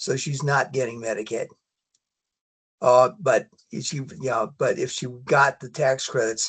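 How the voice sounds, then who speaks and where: A man speaks at a medium pitch with fairly even intonation. His voice is somewhat breathy, and the background is quiet. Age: 70s. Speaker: insurance broker. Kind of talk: workshop Q&A comment. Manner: halting.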